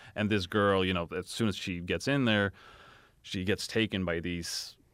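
Speaking in a Swedish accent, a man talks at a moderate pace with very deep, low pitch. The recording is very clean, with a silent background. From Sweden. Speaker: film director. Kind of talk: casual chat. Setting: studio.

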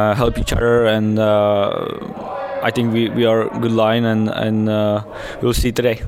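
Someone with a Czech accent speaks at a very slow pace in a monotone, flat intonation. Noticeable background noise runs beneath the voice. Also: man. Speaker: ice hockey player. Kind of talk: interview. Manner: halting.

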